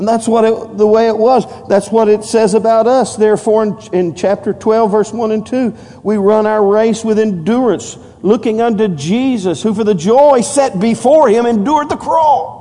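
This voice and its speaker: Amid noticeable background noise, a man talks at a high pitch and a moderate pace with ordinary pitch variation. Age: 50s. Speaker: pastor. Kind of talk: evangelical sermon at a Wednesday night church service, call-and-response preaching. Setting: church with congregation. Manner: conversational, repetitive and stumbling asides with many fillers.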